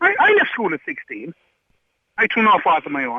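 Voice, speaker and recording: Speaking in an Irish accent, a man with a high pitch sounds animated. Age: 50s. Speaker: caller. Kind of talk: heated debate.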